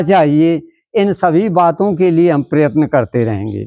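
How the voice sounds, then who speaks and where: The background stays quiet. A man talks in a high-pitched voice. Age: 80s+. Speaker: retired teacher and social worker. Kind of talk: interview.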